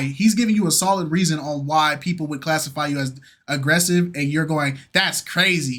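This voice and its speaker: The voice is loud, at a moderate pace. Its pitch shows ordinary variation. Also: man. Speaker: reaction youtuber. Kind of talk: casual chat. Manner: animated.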